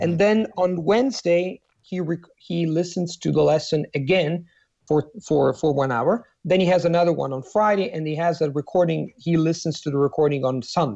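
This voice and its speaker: A man's high-pitched voice with an Italian accent, at a moderate pace and with ordinary pitch variation. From Italy. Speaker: polyglot language coach. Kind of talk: podcast interview.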